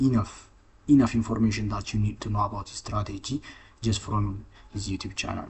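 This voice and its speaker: A man's somewhat breathy, fairly low voice with a non-native accent. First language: not English. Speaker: trading content creator. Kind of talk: casual chat; tutorial. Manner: halting, many fillers and restarts.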